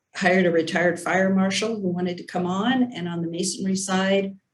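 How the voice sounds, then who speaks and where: With an ordinary speaking voice, a woman talks at a fairly low pitch and with fairly even intonation. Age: 60s. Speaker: construction business owner. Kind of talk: panel interview.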